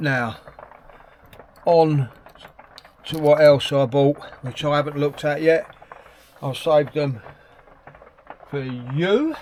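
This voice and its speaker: Amid noticeable background noise, a speaker with an English accent talks at a very slow pace with fairly even intonation and long, frequent pauses. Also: man, fairly high pitch for a man. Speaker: hobby painter YouTuber. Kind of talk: casual unboxing vlog. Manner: quiet at times.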